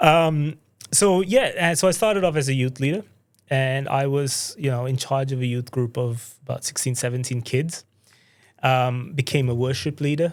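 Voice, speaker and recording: This man has an American accent and a fairly high pitch. He speaks at a moderate pace with ordinary pitch variation. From Sri Lanka, international school. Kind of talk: casual interview conversation.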